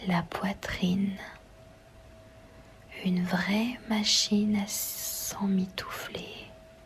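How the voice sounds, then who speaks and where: Whispering and soft-spoken, the speaker goes very slowly with long, frequent pauses over noticeable background noise. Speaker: ASMR reader. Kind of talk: novel reading. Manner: whispered, soft, relaxing.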